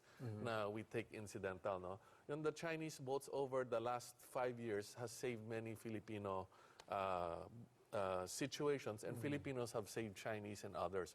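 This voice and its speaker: A normal speaking voice keeps a moderate tempo, its pitch varying in an ordinary way. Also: man, medium pitch for a man. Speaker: think-tank director and trade negotiator. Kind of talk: TV interview answer.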